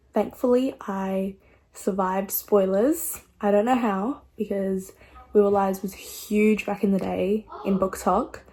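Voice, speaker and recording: This woman talks in an Australian accent. Her pace is fairly slow. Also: medium pitch for a woman, ordinary pitch variation. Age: 20s. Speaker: book vlogger. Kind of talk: casual vlog chat.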